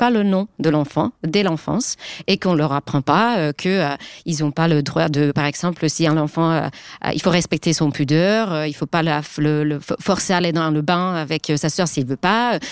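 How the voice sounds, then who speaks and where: A woman with a Finnish accent speaks at a moderate pace in a fairly low pitch, her loudness very even and the sound dry and close with no echo. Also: ordinary pitch variation. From Finland. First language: Finnish (speaking French). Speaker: journalist and author. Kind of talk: panel discussion.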